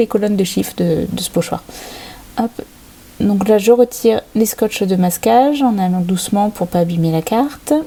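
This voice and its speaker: At a moderate pace, a woman with an English accent speaks in a medium pitch over noticeable background noise. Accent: English accent when speaking French. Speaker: crafting channel host. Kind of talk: tutorial. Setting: home desk filmed by overhead camera. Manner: hesitant, many filler sounds.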